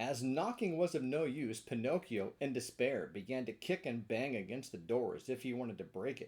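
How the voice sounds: Natural voice used for reading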